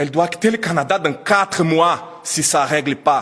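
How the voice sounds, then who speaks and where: A man with a non-native accent, plus noticeable background noise. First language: not French (speaking French). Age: 30s. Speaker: immigrant teacher trainer. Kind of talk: press conference testimony. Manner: emotional, halting.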